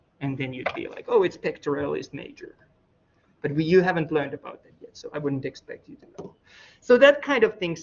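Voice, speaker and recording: A non-native accent at a fairly quick pace. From former Soviet Union. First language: not English. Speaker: college instructor. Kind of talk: lecture. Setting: classroom, recorded for online students. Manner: casual, conversational.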